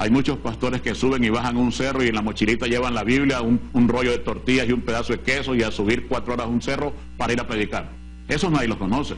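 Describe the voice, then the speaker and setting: Over noticeable background noise and audible room echo, a man talks at a very fast pace in a medium pitch with monotone, flat intonation. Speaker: pastor and Bible TV show host. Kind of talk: TV Bible teaching program. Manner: emphatic, forceful preaching.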